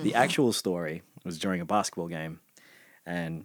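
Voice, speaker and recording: A man with a very deep, low pitch and an Australian accent talks at a fairly quick pace with ordinary pitch variation. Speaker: podcast guest. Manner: casual storyteller.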